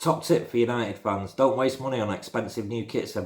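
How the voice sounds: The delivery is a natural reading voice.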